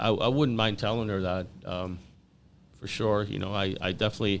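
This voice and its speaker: A man with an American accent talks at a fairly quick pace. His pitch is fairly low and his intonation fairly even. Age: 60s. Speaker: podcast guest. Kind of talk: interview. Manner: halting, many repetitions and fillers.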